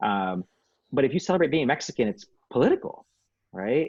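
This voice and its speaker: Using very wide pitch swings, a man with a Spanish accent speaks at a fairly quick pace. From Saginaw, Michigan (born in Bolivia, moved at seven). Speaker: community nonprofit director. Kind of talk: panel discussion. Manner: casual, many fillers.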